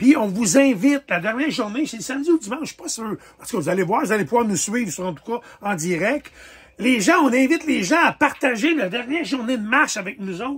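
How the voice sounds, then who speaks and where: With a Quebec accent, a man talks very fast at an extremely high pitch, with lively intonation and big swings in loudness over noticeable background noise. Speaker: tattoo artist and charity walk organizer. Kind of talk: casual fundraising announcement video.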